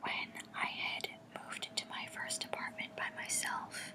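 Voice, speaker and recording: A whisper comes through despite noticeable background noise. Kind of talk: ASMR soft-spoken storytelling to camera. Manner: whispered, soft-spoken.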